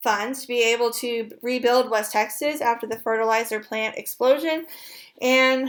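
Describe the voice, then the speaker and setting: A woman with a fairly high pitch and fairly even intonation, in a very clean recording with a silent background. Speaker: college instructor. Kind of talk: lecture. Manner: fast.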